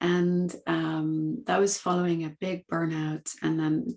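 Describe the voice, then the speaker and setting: This voice has a Dutch accent and is captured in a very clean recording with a silent background. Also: woman. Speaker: coaching academy founder. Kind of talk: podcast interview.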